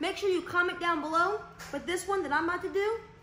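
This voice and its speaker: Her voice is extremely high and bright, with a sharp tone, a fairly quick pace and audible echo from the room. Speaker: prank vlogger. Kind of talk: casual vlog chat. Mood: playful, mock scared. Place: home room. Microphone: phone near.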